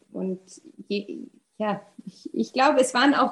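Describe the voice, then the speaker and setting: An Austrian accent with ordinary pitch variation. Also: woman. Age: 40s. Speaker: insurance executive. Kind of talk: casual interview.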